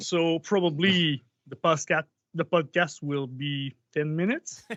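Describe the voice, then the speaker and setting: At a very slow pace, a man with a fairly high pitch talks with ordinary pitch variation. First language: French. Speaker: musician. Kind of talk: casual chat. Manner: halting.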